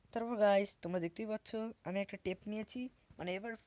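A woman speaks with a medium pitch and ordinary pitch variation. The sound is dry and close, with no echo. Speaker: YouTube craft creator. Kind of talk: tutorial voice-over. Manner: halting. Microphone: new mic.

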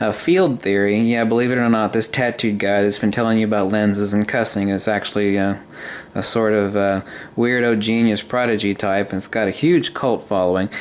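With a plain, everyday voice, a man speaks at a fairly low pitch and a fairly quick pace, his intonation fairly even. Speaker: video maker demonstrating a device. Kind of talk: casual explanatory demo. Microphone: phone near.

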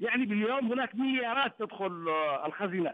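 High male voice, its pitch varying in an ordinary way. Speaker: academic and political analyst. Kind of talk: TV news debate. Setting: remote link from another city.

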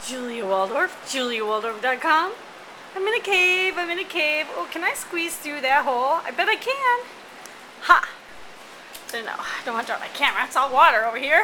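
Light background noise sits under a woman's raised, projected voice, which moves in very wide pitch swings. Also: fairly quick pace. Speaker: vlogger. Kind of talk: casual vlog chat. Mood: playful, excited. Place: tunnel cave. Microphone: phone near.

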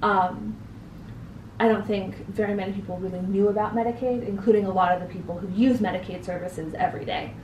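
Very fast and medium-pitched, a woman speaks with an American accent amid audible room echo and light background noise. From US Northeast, New Hampshire. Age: young. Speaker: interview guest. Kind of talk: interview. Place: home room.

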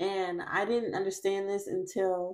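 With fairly even intonation, a woman talks at a fairly slow pace while the background stays quiet. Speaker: tarot reader. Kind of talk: casual vlog chat. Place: home room.

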